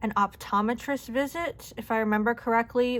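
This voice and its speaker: An unremarkable speaking voice from a woman, moderate in pace with fairly even intonation, on a very clean recording with a silent background. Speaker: budgeting YouTuber. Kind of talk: casual budget walkthrough. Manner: casual, chatty.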